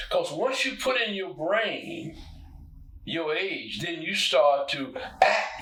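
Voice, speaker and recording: Projecting a raised voice at a very slow pace, a man swings his high pitch very widely amid audible room echo and noticeable background noise. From US South (Arkansas). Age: 90s. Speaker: retired poet and musician. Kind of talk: interview.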